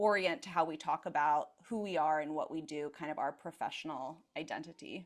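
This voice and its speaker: Speaking in an American accent with hardly any pauses, a woman uses a very deep, low pitch and fairly even intonation. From US West Coast, Seattle. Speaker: career coach. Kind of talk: interview.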